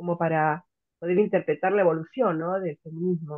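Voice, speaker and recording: In a fairly low pitch, a woman talks with monotone, flat intonation. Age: 60s. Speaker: student attending an open class. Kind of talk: audience comment in online class. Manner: halting.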